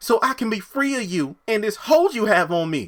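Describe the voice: A man does a put-on character voice, high in pitch, at a moderate pace. His pitch swings very widely.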